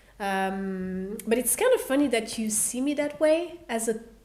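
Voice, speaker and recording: Speaking at a fairly slow pace, a woman with a fairly high pitch is heard with audible room echo. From Belgium, Brussels. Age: 30s. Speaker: singer. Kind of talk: casual chat. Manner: calm.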